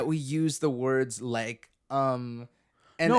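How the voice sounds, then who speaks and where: Here a man speaks at medium pitch. His intonation stays fairly even. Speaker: podcast host and vlogger. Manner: laid back, uses filler words.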